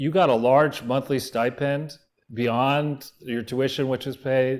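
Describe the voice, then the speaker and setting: The recording is very clean, with a silent background. A man talks at a medium pitch and a fairly slow pace, his intonation fairly even. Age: 60s. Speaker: political researcher and show host. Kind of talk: interview. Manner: halting.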